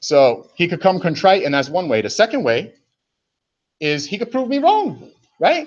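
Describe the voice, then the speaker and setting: A man with an American accent speaks at a moderate pace with lively intonation. The background is quiet. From New York, South Bronx. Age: 40s. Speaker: livestreamer. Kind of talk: heated rant. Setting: livestream on laptop. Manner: animated.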